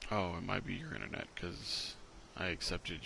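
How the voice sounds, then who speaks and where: A man is whispering quietly. His voice carries vocal fry. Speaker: gaming streamer. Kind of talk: casual chat. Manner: quiet, sounds like whispering.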